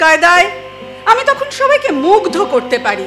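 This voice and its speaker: A woman's voice with very wide pitch swings, music in the background. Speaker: poetry reciter. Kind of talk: poetry reading.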